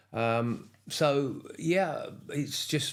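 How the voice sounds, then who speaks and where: A man with a southern English accent talks with lively intonation, and audible room echo surrounds his voice. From England, Cambridgeshire. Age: 70s. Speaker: retired motorcycle racer. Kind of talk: casual interview.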